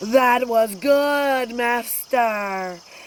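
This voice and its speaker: Bellowing in a high-pitched, put-on character voice, a woman is heard over clear background noise. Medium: read story.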